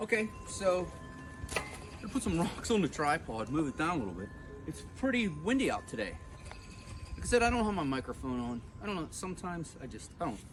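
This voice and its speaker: Over noticeable background noise, a loud man speaks at a fairly quick pace in a fairly high pitch. His pitch swings very widely, and he takes long, frequent pauses. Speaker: home gardener vlogger. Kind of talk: casual vlog narration. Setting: outdoors in garden.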